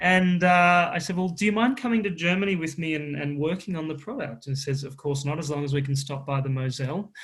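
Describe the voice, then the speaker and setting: Against a quiet background, a man with an Australian accent talks at a very fast pace with hardly any pauses, at a fairly high pitch with ordinary pitch variation. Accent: Australian, moderate. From Queensland, Australia. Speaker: drinks company founder. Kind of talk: interview.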